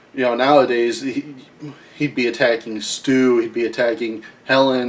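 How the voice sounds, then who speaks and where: A man speaks with an American accent at a moderate pace and medium pitch. His intonation is monotone and flat, and background noise is noticeable. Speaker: wrestling recap host. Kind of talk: casual commentary monologue.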